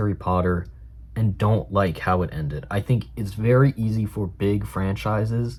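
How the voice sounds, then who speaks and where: A somewhat breathy male voice at a moderate pace. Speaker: film reviewer, student. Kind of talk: casual talk to camera. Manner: chatty, conversational.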